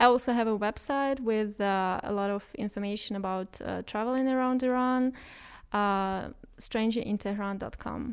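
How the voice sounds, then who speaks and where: A woman with a Russian accent speaks at a fairly slow pace in a fairly high pitch, her intonation fairly even, on a very clean recording with a silent background. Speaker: expat travel blogger. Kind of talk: casual chat.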